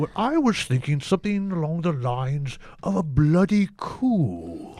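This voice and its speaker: This man's voice is a put-on character. It pitches fairly high. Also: moderate pace. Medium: comedy sketch.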